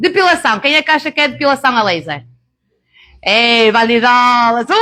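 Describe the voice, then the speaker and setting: Raised and projected, the voice has a bright, sharp tone and very wide pitch swings in a very clean recording with a silent background. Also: woman. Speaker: beauty therapist and laser trainer. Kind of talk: live workshop presentation. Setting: live event with audience. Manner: loud.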